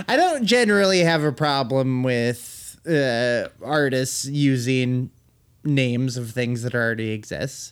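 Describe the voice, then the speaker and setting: Lively intonation and a fairly slow pace from a man with a plain, everyday voice. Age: 30s. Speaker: music podcast co-host. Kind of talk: casual chat.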